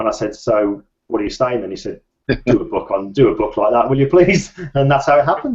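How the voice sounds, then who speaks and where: A man talks at a moderate pace in a fairly high pitch. His voice is somewhat breathy and swings very widely in pitch. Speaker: photographer and author. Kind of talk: interview.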